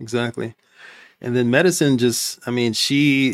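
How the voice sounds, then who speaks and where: In a plain, everyday voice with an American accent, a man speaks at a moderate pace and medium pitch with fairly even intonation, the sound dry and close with no echo on a very clean recording with a silent background. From Compton, California. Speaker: physician and entrepreneur. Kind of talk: casual interview.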